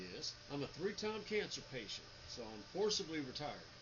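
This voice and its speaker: Noticeable background noise and audible room echo surround a man with a fairly high pitch speaking at a moderate pace. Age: 50s. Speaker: 3D printing business owner. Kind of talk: casual vlog talk. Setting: home office. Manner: stutters at times.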